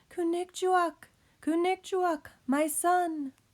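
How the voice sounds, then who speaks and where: In a squeaky put-on character voice, a woman speaks at an extremely high pitch, very slowly and with fairly even intonation. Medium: read story. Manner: heartfelt, gentle.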